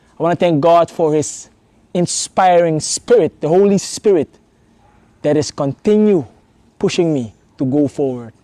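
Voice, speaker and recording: Using a dark, mellow tone and a non-native accent, a man speaks at a moderate pace in a fairly high pitch, with ordinary pitch variation and long, frequent pauses. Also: dry, close sound with no echo. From Suriname. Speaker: theology student. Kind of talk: testimony.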